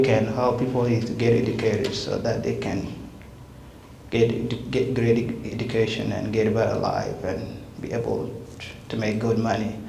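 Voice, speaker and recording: A man with a South Sudanese accent at medium pitch and moderate pace, with audible room echo and light background noise. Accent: South Sudanese (Dinka) English. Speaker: refugee speaker, student; guest. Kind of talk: public talk. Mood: earnest, reflective. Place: hall. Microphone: handheld.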